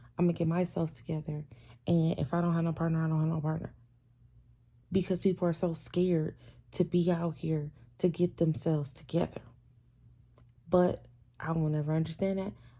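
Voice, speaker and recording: A woman with a fairly low, somewhat breathy voice and a dark, mellow, calm tone speaks at a fairly quick pace in a monotone, flat intonation, with long, frequent pauses. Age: 30s. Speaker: vlogger. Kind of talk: casual monologue.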